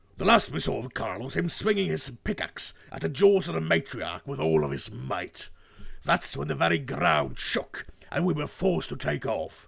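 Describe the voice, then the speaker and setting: A man uses a put-on character voice with fairly low pitch. He keeps a moderate pace. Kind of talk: dramatic storytelling. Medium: role play. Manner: rousing, dramatic.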